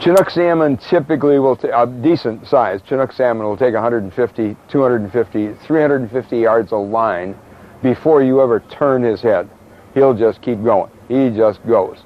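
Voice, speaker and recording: A man's medium-pitched voice with ordinary pitch variation over noticeable background noise. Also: moderate pace. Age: 70s. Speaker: fishing charter captain. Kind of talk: casual interview.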